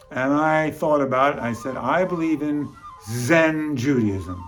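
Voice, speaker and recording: Over music in the background, a man with an American accent speaks at a moderate pace with ordinary pitch variation. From New York City (Bronx). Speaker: comedian and musician. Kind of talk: comic storytelling monologue.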